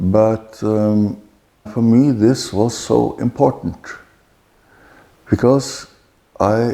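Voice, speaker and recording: A man speaks with a dark, mellow tone at a very slow pace. Long, frequent pauses break up his speech. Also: medium pitch for a man, ordinary pitch variation. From Norway. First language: Norwegian. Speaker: author. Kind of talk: interview answer.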